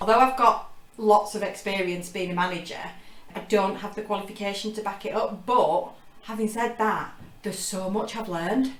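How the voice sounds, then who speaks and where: A woman's medium-pitched voice with fairly even intonation, audible room echo and noticeable background noise. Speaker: operations manager and apprentice. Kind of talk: casual chat. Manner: fast.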